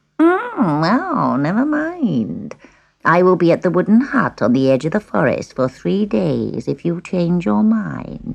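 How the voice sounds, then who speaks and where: A croaky, cackling put-on character voice at a middle pitch and fairly slow pace. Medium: read story. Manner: sly, scornful.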